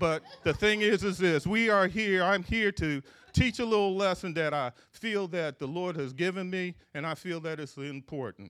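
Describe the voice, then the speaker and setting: A high-pitched man's voice with an American accent, moderate pace, and ordinary pitch variation. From Philadelphia, US. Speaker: preacher. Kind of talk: sermon. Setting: church. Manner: stuttering, repeats words, halting.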